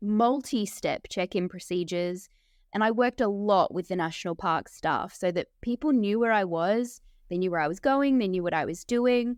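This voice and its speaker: With an Australian accent, a woman speaks with ordinary pitch variation. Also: medium pitch for a woman, moderate pace. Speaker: documentary filmmaker. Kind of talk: interview.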